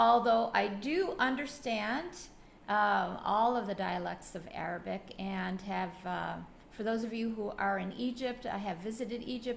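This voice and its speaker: The speech comes at a fairly slow pace with ordinary pitch variation and audible room echo. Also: woman. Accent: American. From US, Buffalo, New York. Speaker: educator coach. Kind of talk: webinar presentation. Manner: halting, many fillers.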